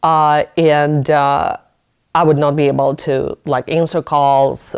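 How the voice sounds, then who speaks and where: With a non-native accent, a woman speaks at a very deep, low pitch. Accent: foreign accent, noticeable. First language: not English. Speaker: business owner and lawyer. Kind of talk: casual interview chat. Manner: halting.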